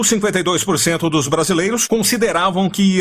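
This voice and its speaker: A man talks over noticeable background noise. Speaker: radio journalist, announcer. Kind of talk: radio news bulletin read.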